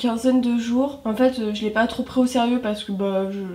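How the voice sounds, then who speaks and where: A woman's high voice holds fairly even intonation while noticeable background noise carries on behind it. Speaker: budgeting vlogger. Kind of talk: casual vlog. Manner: hesitant, many fillers.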